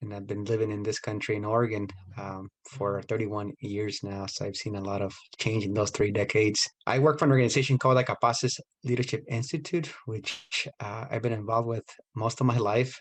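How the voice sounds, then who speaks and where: A man's somewhat breathy voice at medium pitch, fairly quick in pace, with ordinary pitch variation. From Mexico, Michoacan. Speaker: nonprofit leader. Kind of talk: recorded interview.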